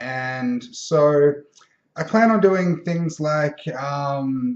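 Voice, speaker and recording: This man speaks at a very slow pace. His pitch is fairly high. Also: ordinary pitch variation. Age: 20s. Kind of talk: casual vlog monologue. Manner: halting, many filler words.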